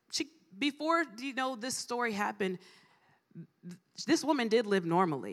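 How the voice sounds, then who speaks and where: A woman with an American accent talks at a moderate pace with a fairly high pitch. Her pitch swings very widely, and vocal fry comes through. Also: long, frequent pauses. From Ohio, US Midwest. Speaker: guest preacher. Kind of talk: sermon. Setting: church conference with audience.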